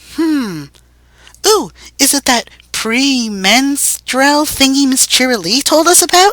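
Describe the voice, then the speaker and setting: Fairly slow delivery in a high-pitched, put-on character voice. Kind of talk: dramatic fanfiction reading.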